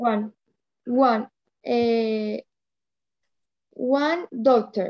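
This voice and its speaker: A woman speaks very slowly with a Spanish accent, leaving long, frequent pauses. Her pitch is fairly high and her intonation fairly even. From Colombia. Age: 20s. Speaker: language student. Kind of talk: language lesson practice. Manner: halting.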